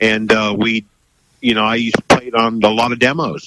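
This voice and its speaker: At a moderate pace, a man with an American accent speaks, the sound dry and close with no echo. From United States. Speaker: musician, former radio presenter. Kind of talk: radio interview.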